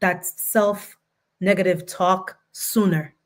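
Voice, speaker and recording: A woman speaks at medium pitch with a non-native accent. The recording is very clean, with a silent background. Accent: foreign accent, noticeable. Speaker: lawyer and book contributor. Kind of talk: panel discussion. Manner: halting.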